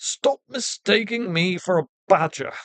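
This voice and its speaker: Using a put-on character voice, a female-sounding speaker talks at a fairly slow pace and a medium pitch. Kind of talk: posh, refined.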